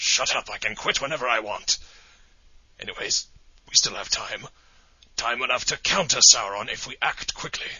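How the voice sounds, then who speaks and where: A man's put-on character voice, raspy and medium in pitch, at a moderate pace with long, frequent pauses. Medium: audio drama. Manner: solemn, theatrical.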